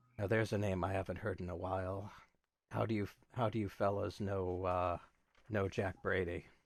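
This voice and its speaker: Using a put-on character voice, a man speaks quietly in a raspy, very deep, low register at a moderate pace, with long, frequent pauses. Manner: guarded, curious.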